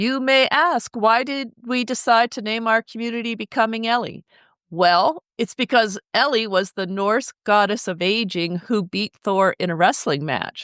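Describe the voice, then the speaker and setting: A woman with a plain, everyday voice speaks at a fairly slow pace and a fairly high pitch with ordinary pitch variation, in a dry, close sound with no echo and a quiet background. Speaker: podcast host. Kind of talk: podcast intro.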